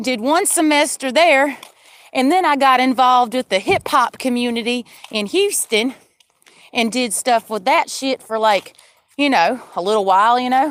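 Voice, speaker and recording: Animated and lively in intonation, a woman speaks in a high voice at a moderate pace. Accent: Southern US. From Georgia, US South. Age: 30s. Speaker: livestreamer. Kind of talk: casual monologue. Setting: in a car. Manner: rambling, animated.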